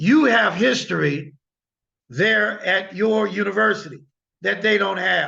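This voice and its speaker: With an American accent, a man talks at a fairly slow pace in a raised, projected, high voice, with a bright, sharp tone, an animated tone and ordinary pitch variation. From US Midwest (Illinois). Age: 60s. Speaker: guest lecturer, lawyer. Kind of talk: lecture. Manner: animated, emphatic.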